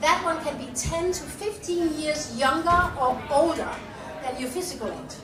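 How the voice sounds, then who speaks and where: A woman with a Danish accent talks at a high pitch and a moderate pace with ordinary pitch variation, amid noticeable background noise and audible room echo. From Denmark. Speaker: nutrition scientist and business owner. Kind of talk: public talk. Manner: animated.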